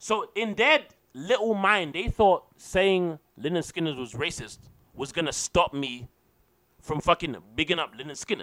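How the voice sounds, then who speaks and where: A man with a high voice talks at a fairly slow pace, his tone bright and sharp and his intonation lively. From England.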